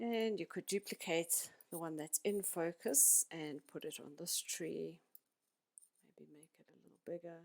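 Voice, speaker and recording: A normal speaking voice at a fairly slow pace, with lively intonation and big swings in loudness, in a dry, close sound with no echo. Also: woman, fairly low pitch for a woman. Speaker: graphics designer. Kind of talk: tutorial.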